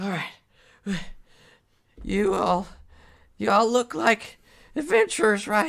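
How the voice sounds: In a put-on character voice, a female-sounding speaker at medium pitch sounds raspy and wheezy, talking very slowly with long, frequent pauses.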